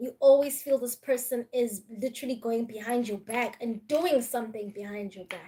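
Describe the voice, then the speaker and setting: A dark, mellow tone in a Zulu accent at a moderate pace. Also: woman. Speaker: tarot reader. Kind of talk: live-stream tarot reading. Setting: live stream.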